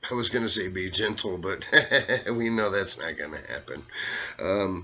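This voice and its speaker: A man with an American accent, a fairly low pitch, and a fairly slow pace. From US South, Arkansas. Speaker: impressionist. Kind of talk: casual monologue.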